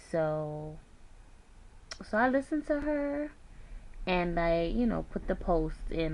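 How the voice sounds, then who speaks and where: There is audible room echo around a woman's voice. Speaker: weight loss surgery vlogger. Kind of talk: casual vlog. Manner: soft-spoken.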